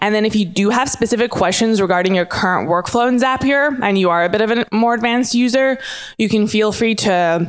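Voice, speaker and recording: At a fairly quick pace, a woman talks in a fairly high pitch with ordinary pitch variation and very even loudness. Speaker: IT specialist presenting a workshop. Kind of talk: conference workshop presentation. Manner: fast.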